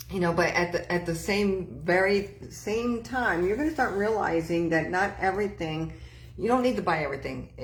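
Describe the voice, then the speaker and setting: A woman speaks at a medium pitch with ordinary pitch variation. The room echo is audible, and there is noticeable background noise. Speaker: psychic medium. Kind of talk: live-stream tarot and mediumship readings. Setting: live stream with online chat. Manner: fast; stammering with false starts.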